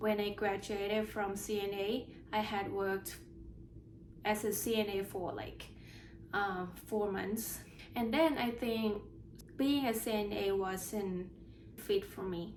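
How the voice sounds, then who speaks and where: A woman talks at a very slow pace, leaving long, frequent pauses. Audible room echo surrounds her voice. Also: medium pitch for a woman, fairly even intonation. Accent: Thai. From Thailand. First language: Thai. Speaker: nurse sharing exam experience. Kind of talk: casual personal vlog. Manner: halting with repeated words.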